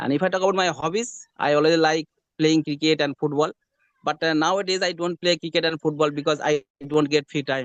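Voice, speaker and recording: Fairly quick speech with a Bengali accent, fairly even intonation, and a dry, close sound with no echo. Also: man. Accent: Bengali Indian English. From West Bengal, India. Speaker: hospital attendant, English learner. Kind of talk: English conversation practice. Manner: halting.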